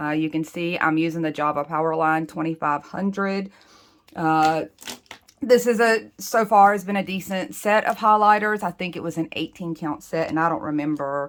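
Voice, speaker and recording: With an American accent, a woman speaks at a moderate pace and fairly low pitch, her pitch varying in an ordinary way. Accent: Southern US accent, kept in check. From US South. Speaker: planner and doodle creator. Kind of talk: tutorial. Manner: casual, chatty.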